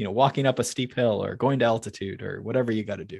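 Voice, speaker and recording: A man talks at a fairly quick pace in a plain, everyday voice. His pitch sits in the medium range with ordinary variation, and the background is quiet. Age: 30s. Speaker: cycling coach and podcast co-host. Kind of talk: casual interview.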